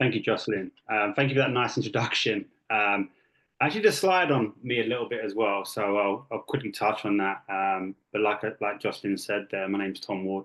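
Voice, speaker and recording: Speaking at a fairly quick pace with an English accent, a man keeps his fairly low pitch in fairly even intonation. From England (Kent). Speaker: youth sports coach and technical director. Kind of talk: presentation. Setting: video call. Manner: many fillers (um, uh).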